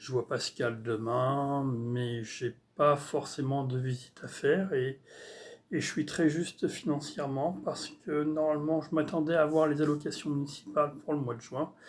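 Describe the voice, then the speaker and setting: A man talks at a fairly high pitch with ordinary pitch variation and a fairly slow pace. The recording is very clean, with a silent background. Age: 60s. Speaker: artist vlogger. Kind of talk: casual vlog monologue. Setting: at home on computer. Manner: halting, many hesitations.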